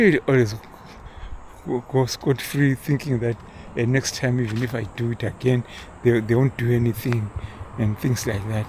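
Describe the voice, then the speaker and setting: Over noticeable background noise, the speaker keeps a fairly even intonation and leaves long, frequent pauses. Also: man, medium pitch for a man, moderate pace. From Zimbabwe. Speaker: vlogger. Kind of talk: casual monologue. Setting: outdoors, walking. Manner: halting, many repeated words and fillers.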